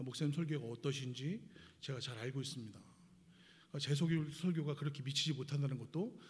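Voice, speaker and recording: Somewhat breathy and fairly high in pitch, a man speaks at a moderate pace with ordinary pitch variation and audible room echo. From Seoul, South Korea. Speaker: missionary guest preacher. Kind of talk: sermon. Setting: church service. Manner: hesitant, many filler sounds.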